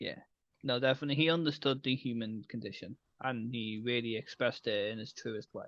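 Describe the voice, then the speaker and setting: A man's British accent at a fairly quick pace, with fairly even intonation. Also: medium pitch for a man. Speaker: podcast co-host. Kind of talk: casual chat.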